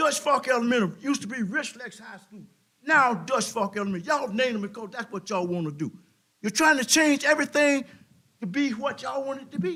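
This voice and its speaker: Speaking at a very fast pace in a raised, projected voice, a man with an extremely high pitch uses lively intonation and big swings in loudness on a very clean recording with a silent background. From South Carolina, Irmo area. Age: 70s. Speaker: resident speaking at public comment. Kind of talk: public comment at council meeting. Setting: town council meeting. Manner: animated.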